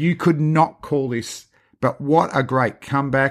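An Australian-accented man at a fairly slow pace, on a very clean recording with a silent background. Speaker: cricket podcast host. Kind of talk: casual chat.

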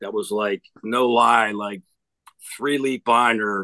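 A man speaks with a strong New Jersey accent and a bright, sharp tone. His pitch varies in an ordinary way, and the sound is dry and close with no echo. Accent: thick New Jersey. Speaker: hitting coach, former cop. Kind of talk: casual interview chat.

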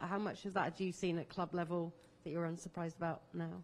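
Fairly fast talk in an unremarkable speaking voice. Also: woman. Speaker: sports journalist. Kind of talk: press conference question.

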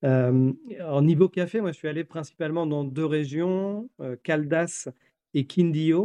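This man speaks very slowly in a fairly high, dark and mellow voice with ordinary pitch variation, recorded dry and close with no echo. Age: 40s. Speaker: coffee roaster and business owner. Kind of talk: interview.

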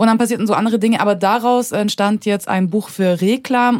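Her pitch varies in an ordinary way. The woman delivers her words at a very fast pace. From Munich, Bavaria. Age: 30s. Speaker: writer and filmmaker. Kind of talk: casual interview.

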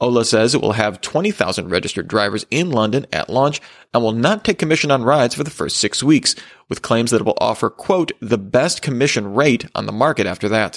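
A man with an ordinary speaking voice and a medium pitch talks at a fairly quick pace with lively intonation, on a very clean recording with a silent background. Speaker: tech news host. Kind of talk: news reading, scripted headlines bulletin. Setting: studio. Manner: formal, steady and brisk; even, neutral delivery.

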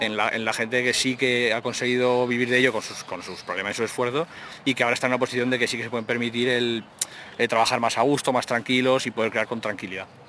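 A man speaks very fast in a flat monotone while background noise is noticeable. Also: medium pitch for a man. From Aragon, Spain. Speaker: game developer and journalist. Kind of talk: casual chat.

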